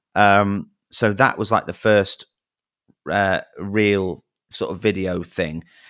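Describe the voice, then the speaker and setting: A man's fairly low voice with a Manchester accent, flat and monotone, at a very slow pace with long, frequent pauses, on a very clean recording with a silent background. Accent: Manchester-area English. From northern England, near Manchester. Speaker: wedding singer and YouTuber. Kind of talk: casual interview chat.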